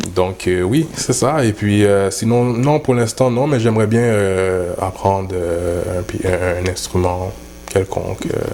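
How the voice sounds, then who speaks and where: Amid noticeable background noise, a man with a fairly low pitch speaks at a very slow pace with ordinary pitch variation. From Montreal North, Quebec. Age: young. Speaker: dancehall artist. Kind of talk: interview. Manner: halting, many fillers.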